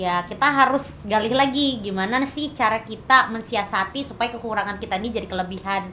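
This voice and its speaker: A shrill woman's voice at a very fast pace, with ordinary pitch variation and noticeable background noise. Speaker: content creator and perfume entrepreneur. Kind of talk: podcast interview. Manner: casual, chatty.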